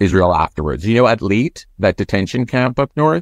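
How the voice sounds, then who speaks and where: A man with a Canadian accent speaks in an unremarkable speaking voice at a moderate pace with lively intonation, the sound dry and close with no echo. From Toronto, Canada. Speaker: radio host. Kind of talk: interview.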